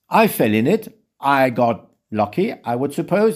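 A man with a French accent on a very clean recording, background silent. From Switzerland, French-speaking. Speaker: social worker and retreat center founder. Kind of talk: interview.

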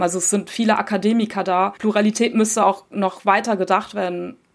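A woman speaks at a fairly quick pace with a medium pitch. Her intonation is monotone and flat. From Germany. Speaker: journalist. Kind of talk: interview. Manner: hesitant, many fillers.

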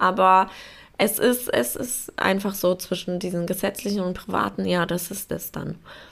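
On a very clean recording with a silent background, a woman with vocal fry speaks at a moderate pace in a medium pitch with fairly even intonation. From Poland. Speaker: podcast host. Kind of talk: casual solo monologue.

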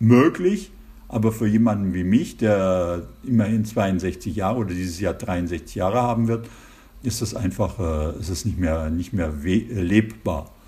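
Speaking at a fairly slow pace, a man has a dark, mellow tone and a somewhat breathy sound. His intonation is lively. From Germany. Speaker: intensive care physician. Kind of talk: interview. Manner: hesitant, many fillers.

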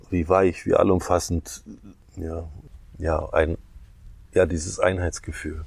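A man's very deep, low voice, somewhat breathy, with fairly even intonation at a fairly slow pace. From East Germany and Ghana. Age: 60s. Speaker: stage artist and clown. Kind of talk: casual chat. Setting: outdoors on a meadow.

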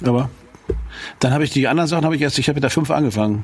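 Through noticeable background noise, a man talks with ordinary pitch variation. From Schleswig, northern Germany. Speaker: rock musician, podcast co-host. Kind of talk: casual chat.

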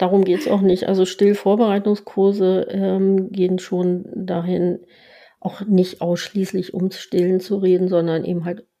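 This woman's intonation stays monotone and flat at a moderate pace. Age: 60s. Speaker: lactation consultant and pediatric nurse. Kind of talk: interview.

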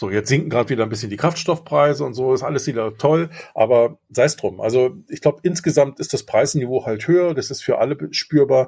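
A man's fairly high, dark, mellow voice, somewhat breathy, at a fairly quick pace with hardly any pauses and ordinary pitch variation, in a very clean recording over a silent background. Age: 50s. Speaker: podcast co-host, father. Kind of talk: casual chat.

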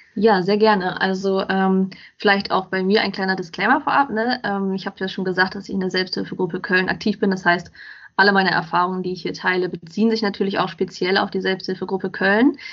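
A woman speaks at a fairly quick pace in a normal speaking voice. Her pitch is medium, with fairly even intonation. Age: 20s. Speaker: self-help group member and blogger. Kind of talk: casual interview chat.

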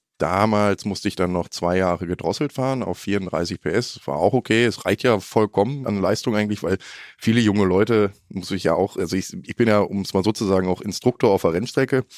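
In a very clean recording with a silent background and a dry, close sound with no echo, a man with an unremarkable speaking voice and fairly low pitch talks at a fairly quick pace, with hardly any pauses and ordinary pitch variation. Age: 20s. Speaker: trainee motorcycle journalist. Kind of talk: casual chat.

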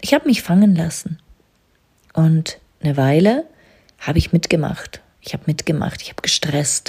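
A woman's calm, fairly low voice with ordinary pitch variation, big swings in loudness, long and frequent pauses, and a dry, close sound with no echo. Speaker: business coach and podcast host. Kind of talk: spiritual monologue. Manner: slow, calm, trance-inducing.

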